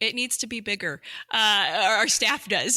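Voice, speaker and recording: A woman with a slight Midwestern accent, a bright, sharp tone, and a moderate pace, on a very clean recording with a silent background. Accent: slight Midwestern twang. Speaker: government communications director. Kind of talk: podcast interview.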